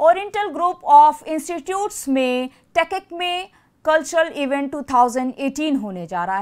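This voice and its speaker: Against a quiet background, a woman speaks in a high pitch with very wide pitch swings. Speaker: news anchor. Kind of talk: news bulletin reading. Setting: studio. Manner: brisk, formal, even newsreader delivery; steady, continuous, few pauses. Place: studio.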